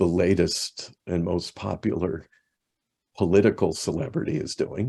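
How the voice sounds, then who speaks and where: A man's very deep, low voice, dark and mellow in tone, somewhat breathy, at a fairly slow pace. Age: 60s. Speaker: evangelical minister. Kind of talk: podcast interview.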